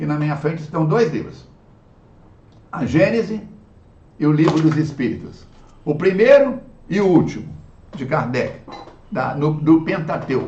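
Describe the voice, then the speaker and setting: Fairly high-pitched, a man talks at a fairly slow pace with lively intonation and long, frequent pauses. Audible room echo surrounds his voice. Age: 70s. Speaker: spiritist lecturer. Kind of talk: religious lecture. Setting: online video talk.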